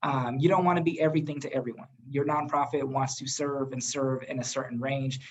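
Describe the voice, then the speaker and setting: Somewhat breathy and fairly high in pitch, a man talks at a fairly quick pace. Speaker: nonprofit executive director. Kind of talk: presentation in webinar. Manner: fast.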